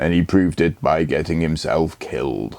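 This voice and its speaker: A man speaks at a moderate pace in a put-on character voice, very deep and rumbling, raspy, with ordinary pitch variation. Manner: gruff.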